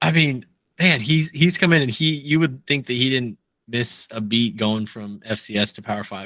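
A man with an American accent, medium pitch, a bright, sharp tone and lively intonation, on a very clean recording with a silent background. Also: moderate pace. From Nebraska. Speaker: college football podcast host. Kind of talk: casual chat.

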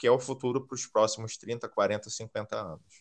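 A man with a Rio de Janeiro accent talks at a medium pitch and a moderate pace against a quiet background. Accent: Carioca Brazilian Portuguese. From Rio de Janeiro, Brazil. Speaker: recruiter. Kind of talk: podcast interview.

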